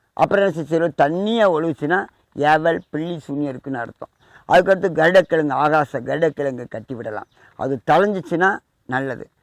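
A man with a plain, everyday voice speaks in a fairly high pitch with ordinary pitch variation and big swings in loudness, the sound dry and close with no echo. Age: 40s. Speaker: temple priest and spiritual remedy advisor. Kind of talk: instructional talk on spiritual remedies.

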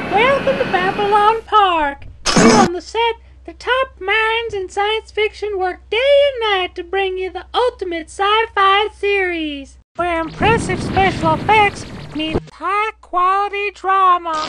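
Spoken at a fairly slow pace, the voice sits at an extremely high pitch. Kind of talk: TV host patter. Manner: chirpy, promotional.

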